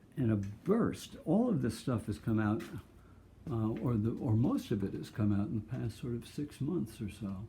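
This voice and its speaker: Somewhat breathy and dark, mellow in tone, a man's medium-pitched voice moves at a moderate pace with ordinary pitch variation. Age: 70s. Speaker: artist. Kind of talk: casual chat. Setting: at home. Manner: halting.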